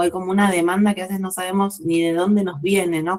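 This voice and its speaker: This woman talks at a medium pitch. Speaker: writing teacher. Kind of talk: lecture. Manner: slow.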